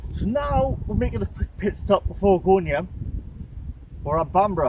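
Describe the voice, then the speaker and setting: A man speaks at a moderate pace. Behind him, there is noticeable background noise. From North East England. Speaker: musician in a band. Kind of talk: casual talk to camera, local history commentary. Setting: outdoors. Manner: casual, hesitant.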